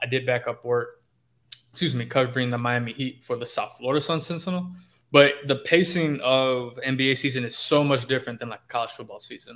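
This man has an American accent, a medium pitch, fairly even intonation and a plain, everyday voice. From Chicago. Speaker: sports beat writer. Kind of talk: podcast interview.

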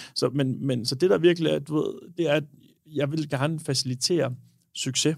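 The pitch here moves in a normal way. It is an unremarkable speaking voice going at a moderate speed. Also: man, fairly high pitch for a man. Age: 20s. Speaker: bartender and cocktail bar co-owner. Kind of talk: casual chat.

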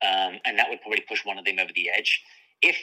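The speaker is a man with a British accent. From UK. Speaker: author and sports journalist. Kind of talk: interview.

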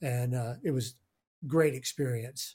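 At a moderate pace, a man talks with fairly even intonation. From Houston, Texas. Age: 60s. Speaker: studio owner, producer and engineer. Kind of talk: casual interview chat.

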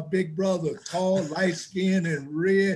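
This man has an American accent. He talks at a fairly slow pace. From Chicago, US Midwest. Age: 60s.

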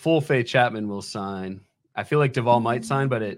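A man with a plain, everyday voice talks at a medium pitch and a fairly quick pace. His intonation is lively, and the recording is very clean with a silent background. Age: 30s. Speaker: fantasy baseball analyst. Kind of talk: live stream draft chat.

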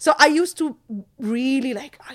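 A woman with an American accent sounds animated and energetic, her intonation lively. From Jordan. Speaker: movie reviewer and YouTuber. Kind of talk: casual storytelling in an interview. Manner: animated, energetic.

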